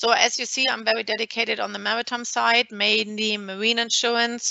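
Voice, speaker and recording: In a German accent, a woman speaks at a fairly high pitch with monotone, flat intonation. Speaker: maritime lawyer. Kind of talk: webinar presentation. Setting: video call.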